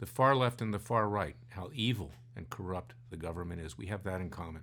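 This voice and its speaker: A man's very deep, low voice with vocal fry and an American accent, lively in intonation and fairly quick in pace. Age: 60s. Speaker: lawyer and podcast co-host. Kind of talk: casual political discussion. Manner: animated.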